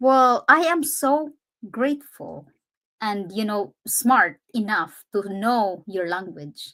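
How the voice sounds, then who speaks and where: In a Filipino accent, a woman speaks very slowly in a fairly high, bright, sharp voice with very wide pitch swings. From Philippines. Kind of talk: casual chat.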